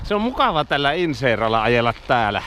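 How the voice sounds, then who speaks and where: At a moderate pace, a man speaks with noticeable background noise behind him. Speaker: cycling vlogger. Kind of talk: casual vlog narration. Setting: outdoors, riding a bike.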